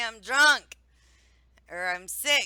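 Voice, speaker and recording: In a very clean recording with a silent background, a woman with a bright, sharp tone talks at a fairly slow pace with lively intonation. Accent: Midwestern American. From Ohio. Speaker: talk show host, streamer interviewer. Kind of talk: casual live-stream interview chat.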